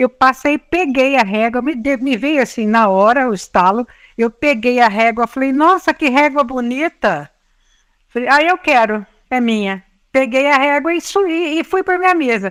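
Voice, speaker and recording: In a very clean, dry, close recording with a silent background and no echo, a woman with a high pitch speaks at a moderate pace with lively intonation. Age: 60s. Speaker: educator and writer. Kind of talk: interview conversation.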